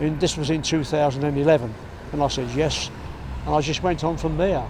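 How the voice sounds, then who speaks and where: With noticeable background noise, a man talks at a fairly quick pace in a fairly high pitch and fairly even intonation. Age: 70s. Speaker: charity runner. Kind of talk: interview answer.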